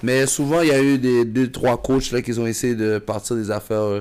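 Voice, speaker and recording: This is a man with a plain, everyday voice and a fairly low pitch. He speaks at a moderate pace with fairly even intonation. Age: 30s. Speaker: basketball coach and former player. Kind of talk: casual chat.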